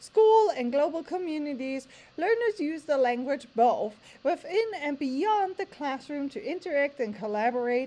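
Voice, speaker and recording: At a moderate pace, a woman with a high pitch and a dark, mellow tone makes very wide pitch swings. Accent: German. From Germany. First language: German. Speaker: language teacher. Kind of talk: tutorial. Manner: reading aloud from standards text.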